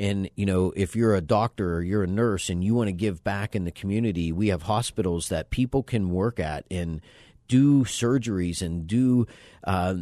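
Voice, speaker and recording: An ordinary speaking voice with an American accent talks at a moderate pace and ordinary pitch variation. The background is quiet. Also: man. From western Pennsylvania, suburb of Pittsburgh. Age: 50s. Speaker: adventure travel company owner and mountaineer. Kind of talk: radio interview. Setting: radio studio.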